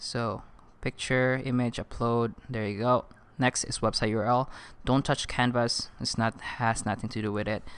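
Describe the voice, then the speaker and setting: A bright, sharp voice with a non-native accent moves along at a fairly slow pace. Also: man. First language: not English. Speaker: online marketing instructor. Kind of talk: tutorial. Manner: casual, upbeat.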